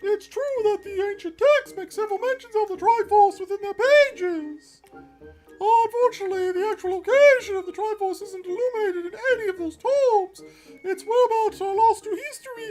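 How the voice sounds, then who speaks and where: A squeaky put-on character voice, extremely high in pitch, at a fairly quick pace over faint music in the background. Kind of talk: scholarly, lecturing. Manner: wacky, goofy.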